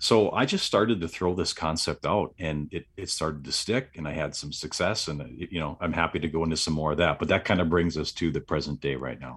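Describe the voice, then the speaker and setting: Over a quiet background, a man with an American accent talks fairly quickly with hardly any pauses, using a very deep, low pitch, ordinary pitch variation and vocal fry. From US Midwest, southeast Wisconsin. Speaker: entrepreneur, retreat organizer. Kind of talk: interview, casual chat.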